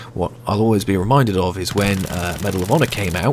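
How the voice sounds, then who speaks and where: With noticeable background noise behind him, a man with a British accent talks at a fairly quick pace, his fairly low pitch showing ordinary variation. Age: 20s. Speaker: gaming youtuber. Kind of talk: gameplay commentary answering viewer questions. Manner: frequent hesitations (uh, um).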